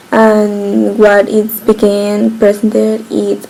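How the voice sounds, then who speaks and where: There is noticeable background noise. A woman speaks at a fairly high pitch. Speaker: student giving a class presentation. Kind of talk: recorded class presentation. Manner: halting.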